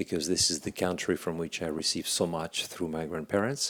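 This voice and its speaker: Here a man speaks in a French accent with a very deep, low pitch. His intonation is fairly even. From France, Paris. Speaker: leadership speaker. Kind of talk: workshop talk. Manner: halting.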